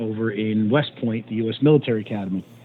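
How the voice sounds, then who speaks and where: A normal speaking voice with an American accent and fairly even intonation. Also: man. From New Jersey. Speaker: fire chief. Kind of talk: interview. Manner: casual, many fillers.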